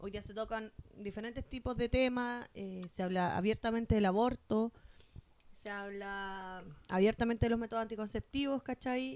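A woman talks at a fairly slow pace with a Chilean accent. Her pitch sits fairly high. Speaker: podcast co-host. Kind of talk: casual chat.

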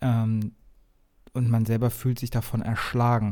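At a moderate pace, a man with a medium pitch and a dark, mellow tone speaks in a very clean recording with a silent background. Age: 30s. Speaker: podcast host. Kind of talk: casual solo podcast talk. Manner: casual with filler sounds.

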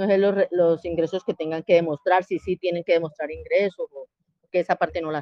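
A woman talks at a fairly quick pace with hardly any pauses. Her intonation is monotone and flat, while her loudness swings widely. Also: fairly low pitch for a woman. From Colombia, Cali. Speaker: prospective migrant asking questions. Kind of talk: casual group voice chat.

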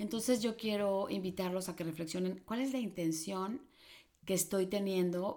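In a plain, everyday voice, a woman talks at a medium pitch with ordinary pitch variation. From Mexico City and Chihuahua, Mexico. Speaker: psychologist and life coach. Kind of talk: casual interview.

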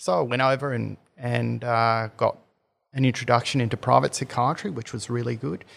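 A man with an Australian accent talks at a moderate pace and medium pitch in a very clean recording with a silent background. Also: ordinary pitch variation. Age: 50s. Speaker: psychiatrist. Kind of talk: interview. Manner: halting, with frequent repetitions.

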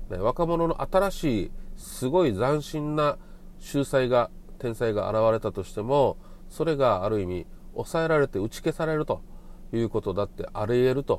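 With a normal speaking voice, a man talks at a moderate pace. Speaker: podcast host. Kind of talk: solo monologue.

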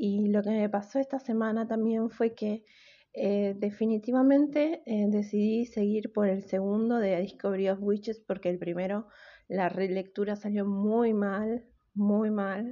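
A woman speaks at a medium pitch and a fairly slow pace. Her intonation is fairly even, and her loudness stays very even. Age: 30s. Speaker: podcast host. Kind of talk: casual solo podcast monologue.

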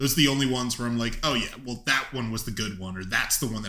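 A loud voice with a bright, sharp tone and fairly even intonation. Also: man. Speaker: podcast host. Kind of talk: casual chat. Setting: studio, one mic on table.

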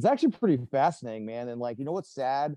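A man with a medium pitch and lively intonation speaks in a plain, everyday voice. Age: 30s. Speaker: military medic veteran. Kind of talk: casual chat.

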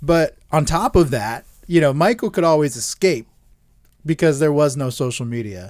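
A man speaks at a moderate pace in a plain, everyday voice, fairly high in pitch with lively intonation. The recording is very clean with a silent background. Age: 30s. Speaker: sports podcast co-host. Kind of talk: casual chat. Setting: studio.

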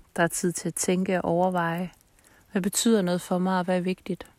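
A woman's fairly low-pitched voice at a moderate pace. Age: 30s. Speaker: podcast host. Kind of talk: casual monologue. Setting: outdoors by a campfire at night. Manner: calm.

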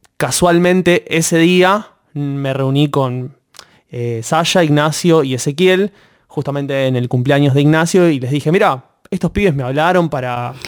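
Speaking at a fairly slow pace, a man with an unremarkable speaking voice uses a fairly high pitch with ordinary pitch variation. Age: 20s. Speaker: master's student, student group member. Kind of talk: interview.

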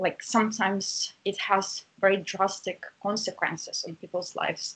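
A woman speaks with a Russian accent. Her voice is somewhat breathy. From Russia, St. Petersburg. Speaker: university lecturer and researcher. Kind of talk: interview.

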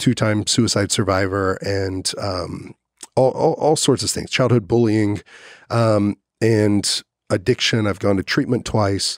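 An American accent marks this man's ordinary speaking voice, fairly low in pitch with fairly even intonation at a moderate pace. The very clean recording has a silent background and a dry, close sound with no echo. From Texas, Dallas-Fort Worth countryside. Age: 30s. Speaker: podcast host, former professional fighter. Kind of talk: casual interview chat.

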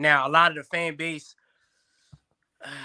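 In a very clean recording with a silent background and a dry, close sound with no echo, the voice is bright and sharp, with a passionate, animated tone. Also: man. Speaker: guest, youth football coach and sports media co-host. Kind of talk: casual interview chat.

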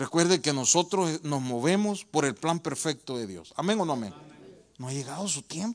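An ordinary speaking voice at a moderate pace, hardly any pauses, with big swings in loudness. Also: man, fairly high pitch for a man, lively intonation. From El Salvador. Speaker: pastor. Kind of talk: sermon.

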